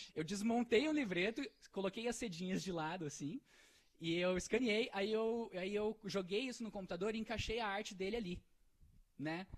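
Moderately paced male speech, high in pitch, with ordinary pitch variation. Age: 20s. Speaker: entrepreneur. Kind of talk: casual chat.

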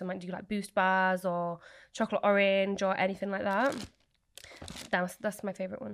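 On a very clean recording with a silent background, a woman with a Yorkshire accent speaks in a medium pitch. Her pace is fairly quick and her intonation fairly even. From Leeds area, England. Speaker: small business owner, baker. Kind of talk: casual interview chat. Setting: studio.

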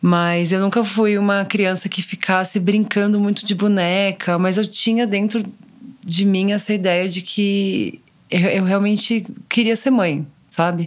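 A woman's plain, everyday voice, medium in pitch, fairly slow, with fairly even intonation. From Brazil, São Paulo. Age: 30s. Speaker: photographer and mother. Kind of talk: personal testimony interview.

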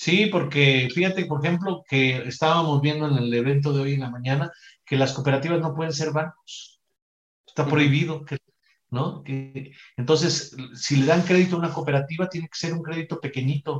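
Music plays in the background as a man speaks at a fairly high pitch with fairly even intonation. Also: moderate pace. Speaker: psychologist, economic reform advocate. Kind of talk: casual discussion.

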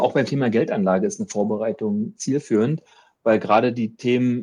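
Talking at a very fast pace, a man uses a dark, mellow tone at medium pitch with ordinary pitch variation. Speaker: bank advisor for medical professionals. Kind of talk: interview.

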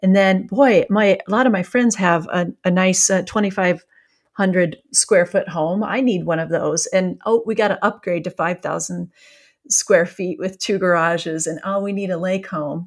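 At a moderate pace and with fairly even intonation, the speaker talks in a US Midwestern accent on a very clean recording with a silent background. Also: woman, medium pitch for a woman. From rural Iowa, US Midwest. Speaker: author, former journalist. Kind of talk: interview conversation.

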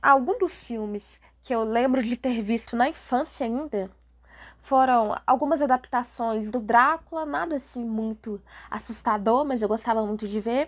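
A woman talks at a fairly slow pace. Her voice is high, with ordinary pitch variation. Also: quiet background. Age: 20s. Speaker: podcast host, literature student. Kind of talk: casual book review monologue. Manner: hesitant, with filler sounds.

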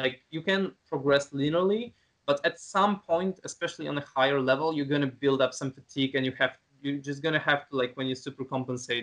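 With an ordinary speaking voice, a man talks at a fairly quick pace using ordinary pitch variation. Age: 20s. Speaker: calisthenics content creator. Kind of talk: casual interview.

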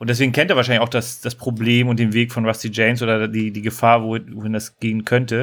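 A medium-pitched man rattles along at a very fast pace in a flat monotone, on a very clean recording with a silent background. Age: 30s. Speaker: podcast co-host. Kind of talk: casual chat.

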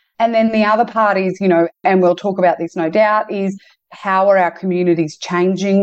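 A woman with an Australian accent talks at a moderate pace. Her pitch is medium, and the background is quiet. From Queensland, Australia. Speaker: entrepreneur and community development leader. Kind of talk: interview.

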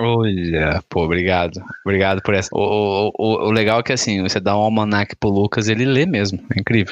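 A man speaks at a fairly quick clip in a fairly low pitch with a normal speaking voice, his intonation fairly even and his loudness very even. The sound is dry and close with no echo, and there are hardly any pauses. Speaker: podcast host. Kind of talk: casual chat.

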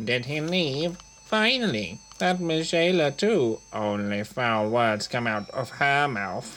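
A man speaks at a medium pitch and a fairly slow pace. Clear background noise can be heard. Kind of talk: comic overacting villain. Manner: blustering, boastful.

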